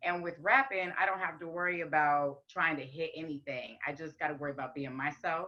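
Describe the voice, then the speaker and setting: A woman with a raspy, fairly low voice speaks at a fairly quick pace with ordinary pitch variation. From US West. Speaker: rapper and singer. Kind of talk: casual chat.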